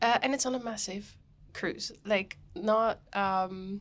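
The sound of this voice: At a slow pace, a woman talks with a medium pitch, ordinary pitch variation and a fairly bright tone.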